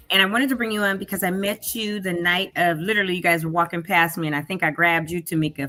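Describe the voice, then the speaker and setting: This woman's speech comes out very fast. Beneath it, there's noticeable background noise. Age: 60s. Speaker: talk show co-host. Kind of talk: interview.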